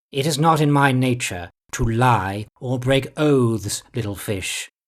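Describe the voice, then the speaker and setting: A put-on character voice from a man, medium in pitch, at a fairly slow pace. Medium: read story. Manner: mirthful, unhurried, patronizing.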